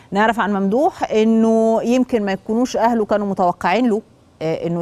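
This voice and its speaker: With a dark, mellow tone, a woman speaks at a moderate pace. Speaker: TV show host. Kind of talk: presenter introduction to camera. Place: studio. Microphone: lapel.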